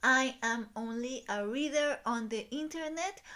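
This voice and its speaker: Speaking at a very slow pace, a woman with a Spanish accent has a high pitch and a bright, sharp tone. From Mexico. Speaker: book YouTuber. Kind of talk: video essay / commentary. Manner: hesitant, many filler ums.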